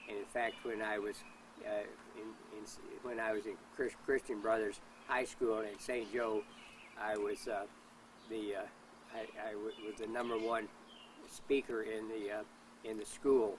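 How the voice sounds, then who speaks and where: Speaking with an American accent, a man with a fairly low pitch talks in a monotone, flat intonation at a moderate pace, with long, frequent pauses. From US Midwest, Kansas and Missouri. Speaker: interviewee, father of a whistleblower. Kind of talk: interview. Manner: halting, stammering repetitions.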